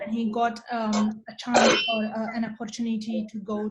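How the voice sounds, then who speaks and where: A woman's somewhat breathy, fairly high voice with a Marathi accent, fairly even intonation and a fairly slow pace. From India. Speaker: researcher and programming presenter. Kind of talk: online talk. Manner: hesitant, many fillers.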